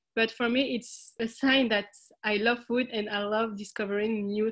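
A woman with a French accent speaks at a fairly slow pace in a fairly high pitch. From France, Algerian family. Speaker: social food entrepreneur. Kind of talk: interview. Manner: halting.

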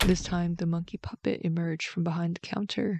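A woman with a normal speaking voice talks at a fairly quick pace, fairly low in pitch, with fairly even intonation. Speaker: bedtime story host. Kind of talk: bedtime story reading, scripted narration.

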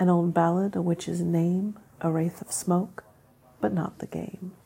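A woman speaks at a fairly slow pace with medium pitch in a somewhat breathy voice, her tone dark, mellow, relaxed and warm, her intonation monotone and flat. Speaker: podcast host reading poetry. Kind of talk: poem reading, casual and conversational, with chatty asides between poems. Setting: home recording with child nearby. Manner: relaxed, conversational, warm; pauses to restart after stumbles, self-correcting.

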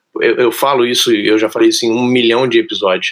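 This is a plain, everyday voice. Its pace is fairly quick. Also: man. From Brazil, outside São Paulo. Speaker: podcast host. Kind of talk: casual podcast chat.

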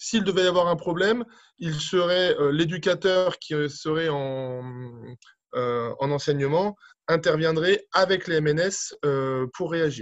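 A man with a high pitch talks at a very slow pace, his pitch varying in an ordinary way. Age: 40s. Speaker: aquatic centre director. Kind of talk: interview. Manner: hesitant, many fillers.

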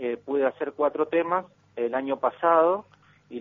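At a fairly slow pace, a man speaks at a medium pitch with ordinary variation. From Argentina, Patagonia (Comodoro Rivadavia). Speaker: folk musician and dancer. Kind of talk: casual radio interview. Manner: hesitant, many fillers.

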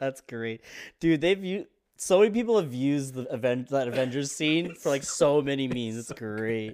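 A man's ordinary speaking voice, fairly high, moderate in pace and lively in intonation, on a very clean recording with a silent background. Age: 30s. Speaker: podcast host. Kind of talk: casual chat.

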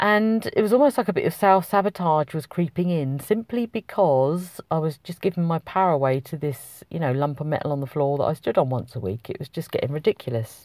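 In a British accent, a woman with a fairly low pitch talks at a fairly quick pace with lively intonation and hardly any pauses, in a dry, close sound with no echo on a very clean recording with a silent background. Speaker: podcast host, wellbeing coach. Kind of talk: solo podcast monologue.

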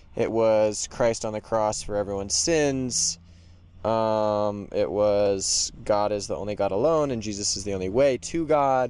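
Lively in intonation, a dark, mellow voice with an American accent moves at a fairly slow pace. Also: man. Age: 20s. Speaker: graduate student. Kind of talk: interview.

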